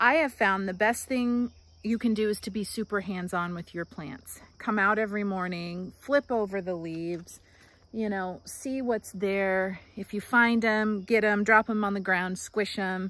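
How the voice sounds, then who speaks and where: The sound is dry, with no echo. A woman speaks at a fairly slow pace. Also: ordinary pitch variation. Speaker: home gardener vlogger. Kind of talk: casual vlog chat. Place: garden. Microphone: phone near.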